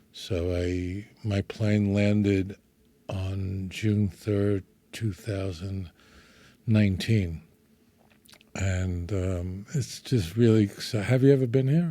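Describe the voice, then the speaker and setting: Very slowly and with long, frequent pauses, a man in a New York accent speaks at a fairly low pitch in a dark, mellow tone, with ordinary pitch variation. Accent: New York (Brooklyn) American. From New York, Brooklyn. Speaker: rabbi. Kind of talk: friendly interview conversation.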